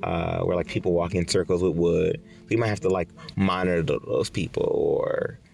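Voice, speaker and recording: Against noticeable background noise, a man talks at a moderate pace with big swings in loudness. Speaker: former program resident. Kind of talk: casual interview. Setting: in a van by the river. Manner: casual, filler-heavy.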